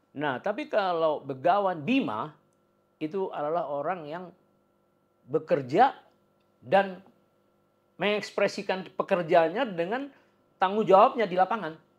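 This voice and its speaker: Against a quiet background, a man with a high pitch speaks at a fairly slow pace, with lively intonation and long, frequent pauses. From Indonesia. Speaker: podcast host. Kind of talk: interview. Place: office. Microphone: lapel.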